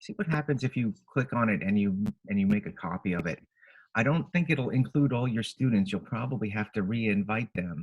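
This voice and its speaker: Amid noticeable background noise, a man talks at a fairly quick pace in a somewhat breathy voice with very wide pitch swings. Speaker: technology trainer for teachers. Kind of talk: webinar tutorial. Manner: fast. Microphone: webcam.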